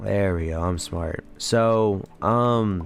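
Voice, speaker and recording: A man speaks at a fairly low pitch. His pitch varies an ordinary amount. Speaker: commentary YouTuber. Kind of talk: casual gameplay commentary. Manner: casual, low-enthusiasm.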